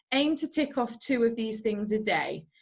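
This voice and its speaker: Somewhat breathy, a woman's fairly high voice moves with ordinary pitch variation. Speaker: network marketing distributor. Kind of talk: online team training call. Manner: fast.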